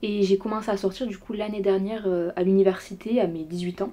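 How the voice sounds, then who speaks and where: Fairly quick and fairly even in intonation, a woman's unremarkable speaking voice sits at a medium pitch. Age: young. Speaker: student. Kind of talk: casual chat.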